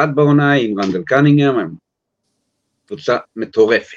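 Lively intonation from a man at a fairly slow pace. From US, New York. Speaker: sports journalist. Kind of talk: casual chat.

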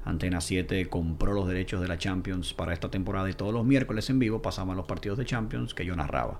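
Against noticeable background noise, a man with a very deep, low pitch talks at a very fast pace. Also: ordinary pitch variation, hardly any pauses. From Dominican Republic. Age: 30s. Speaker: football commentator. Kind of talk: casual chat.

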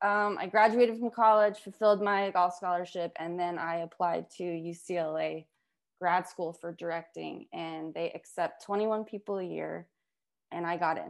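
A woman with an American accent talks at a moderate pace with fairly even intonation against a quiet background. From Las Vegas, US. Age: 30s. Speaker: film director and surf collective founder. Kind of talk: interview on a community video call.

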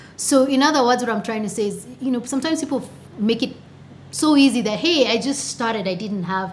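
Lively intonation at a fairly quick pace over noticeable background noise. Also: woman, fairly high pitch for a woman. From Kenya, Nakuru. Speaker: startup co-founder. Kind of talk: interview. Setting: studio.

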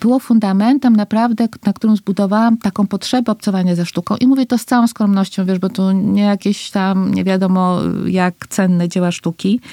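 A woman with a normal speaking voice talks at a fairly quick pace with medium pitch, fairly even intonation, very even loudness and hardly any pauses, in a dry, close sound with no echo. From Costa Rica. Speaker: foundation president, entrepreneur. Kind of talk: interview conversation.

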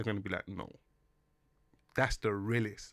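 Heard on a very clean recording with a silent background, a man with a London accent has a bright, sharp tone. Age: 30s. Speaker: musician. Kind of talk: casual chat.

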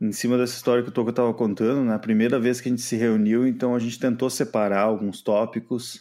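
A man's medium-pitched, dark, mellow voice at a fairly quick pace, in a very clean recording with a silent background. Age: 30s. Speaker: podcaster, IT worker and musician. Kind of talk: casual interview chat.

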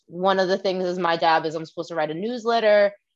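A woman with an American accent speaks in a normal speaking voice at a medium pitch, with ordinary pitch variation. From Long Island, New York (Shinnecock territory). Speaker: panelist, chronically ill athlete. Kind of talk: casual chat.

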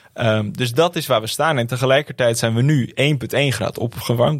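A man speaks with an ordinary speaking voice at a medium pitch. His pitch varies in the usual way, and his pace is moderate. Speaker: climate activist and university student. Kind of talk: interview.

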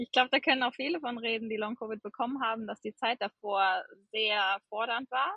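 Speaking at a fairly quick pace, a woman with a fairly high pitch uses ordinary pitch variation. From western Germany, near Cologne. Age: 30s. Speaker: medical student. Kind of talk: personal testimony in casual interview. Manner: many filler hesitations.

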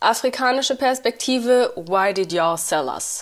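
With a plain, everyday voice, a woman speaks at a fairly slow pace using lively intonation. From Uganda / Rwanda. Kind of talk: casual chat.

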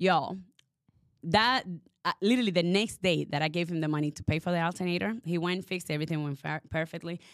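A woman talks at a very fast pace in an animated tone with ordinary pitch variation. The recording is very clean and dry, close with no echo and a silent background. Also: fairly low pitch for a woman. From Dominican Republic heritage. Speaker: podcast co-host. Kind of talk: casual chat. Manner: animated, laughing often.

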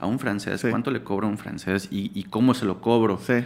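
With a normal speaking voice, a man talks at a fairly low pitch with fairly even intonation. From Yucatán, Mexico. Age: 30s. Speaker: graphic designer. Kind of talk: casual interview chat.

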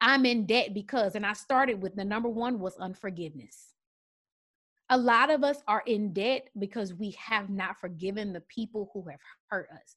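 A woman with a plain, everyday voice at medium pitch speaks at a moderate pace with ordinary pitch variation and big swings in loudness, on a very clean recording with a silent background. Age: 30s. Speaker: teacher, speaker and coach. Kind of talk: casual chat.

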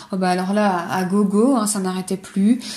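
This woman talks at a fairly quick pace in a flat monotone. Her tone is dark and mellow, somewhat breathy. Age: 20s. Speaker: podcaster sharing personal eating disorder story. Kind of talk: personal testimony monologue. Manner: casual, hesitant with fillers. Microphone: poor sound quality, older recording setup.

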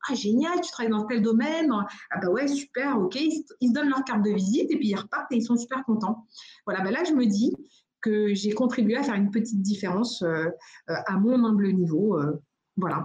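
A woman talks at a fairly quick pace with lively intonation, a fairly high pitch and a somewhat breathy sound. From United States. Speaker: entrepreneur, venue founder. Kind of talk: interview. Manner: hesitant, many fillers and repetitions.

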